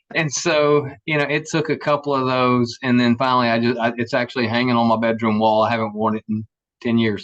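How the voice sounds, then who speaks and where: In a Southern US accent, a man talks at a fairly quick pace with a medium pitch and fairly even intonation. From US South, Savannah, Georgia. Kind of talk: casual chat.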